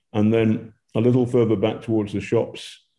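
With a British accent, a man speaks at a moderate pace in a fairly low pitch, his intonation monotone and flat. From Britain. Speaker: war reporter. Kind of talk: live interview.

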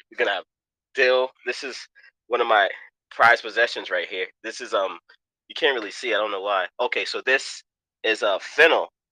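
A man talks with a New York accent. His pace is fairly quick. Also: dry, close sound with no echo. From New York, Queens. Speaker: chef. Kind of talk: casual chat.

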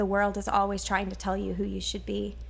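A woman is speaking. There is audible room echo. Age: young. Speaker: stage actor. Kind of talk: interview.

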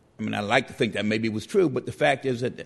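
Lively intonation marks this man's speech, which carries vocal fry. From New York City, the Bronx. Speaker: civil rights lawyer. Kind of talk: formal debate.

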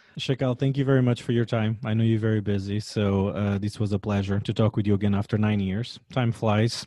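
Against a quiet background, a man with a Portuguese accent speaks at a fairly quick pace with hardly any pauses, his fairly low, dark, mellow voice keeping fairly even intonation and very even loudness. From Portugal. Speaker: podcast host, chef. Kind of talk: interview.

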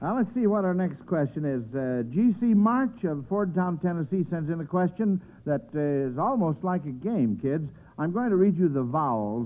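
A man with very wide pitch swings at a fairly slow pace. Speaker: quiz show host. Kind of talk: game show host. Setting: radio broadcast studio. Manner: brisk, upbeat, jovial, cheerfully praising the kids, with ho-ho laughs.

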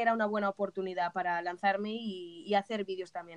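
This woman has an unremarkable speaking voice at a medium pitch with fairly even intonation. The sound is dry and close, with no echo. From Spain, Alicante. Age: 20s. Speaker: community manager. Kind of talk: interview. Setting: remote call from Spain.

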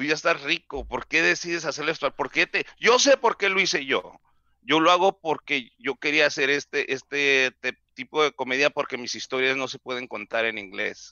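A man with an ordinary speaking voice talks at a fairly high pitch with ordinary pitch variation and hardly any pauses. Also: moderate pace. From Mexico, Mexicali. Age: 40s. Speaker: comedian. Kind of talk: casual chat.

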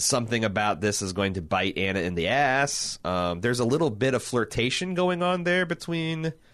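At a moderate pace, a man talks in an unremarkable speaking voice against a quiet background. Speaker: podcast host. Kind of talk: casual podcast chat about a tv show.

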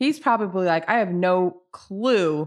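Against a quiet background, a normal speaking voice carries lively intonation. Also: woman. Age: 30s. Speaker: reality TV podcast guest. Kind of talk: casual chat.

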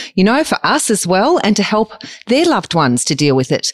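With an Australian accent, a woman talks at a fairly quick pace in a dry, close sound with no echo. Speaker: podcast co-host. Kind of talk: interview.

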